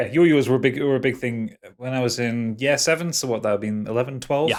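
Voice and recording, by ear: With a Geordie accent, a man talks at a very fast pace and medium pitch, with ordinary pitch variation over noticeable background noise.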